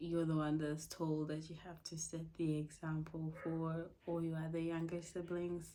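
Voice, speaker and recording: Captured with audible room echo, a woman's voice has a dark, mellow tone and a fairly low pitch. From Africa. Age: 20s. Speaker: podcaster. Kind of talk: casual monologue.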